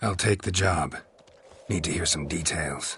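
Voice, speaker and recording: A man puts on a character voice at a moderate pace. It is raspy and pitched very deep and low. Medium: video game. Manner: terse, deadpan.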